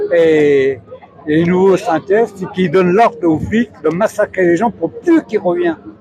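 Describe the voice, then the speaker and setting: A man speaks at a moderate pace in a high pitch with ordinary pitch variation. Noticeable background noise is in the recording. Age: 70s. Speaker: protester. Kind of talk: street interview.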